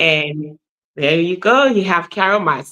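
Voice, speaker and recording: In a Liberian accent, a woman speaks very slowly at a fairly low pitch, with lively intonation and a bright, sharp tone. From Liberia, Nimba County. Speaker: nurse practitioner. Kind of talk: podcast interview.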